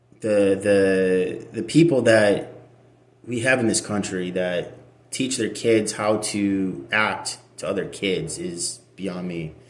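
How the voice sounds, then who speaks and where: Speaking at a very slow pace, a man with an American accent uses a fairly low pitch and ordinary pitch variation, with audible room echo. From Russia, adopted to US as child. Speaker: adoptee sharing personal story. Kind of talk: personal testimony. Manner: halting, many repetitions and fillers.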